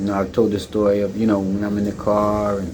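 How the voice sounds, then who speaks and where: A man speaks with a fairly low pitch and a dark, mellow tone. The pace is moderate, and room echo is audible. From United States. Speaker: video blogger and expat. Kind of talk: monologue commentary. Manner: halting, many fillers.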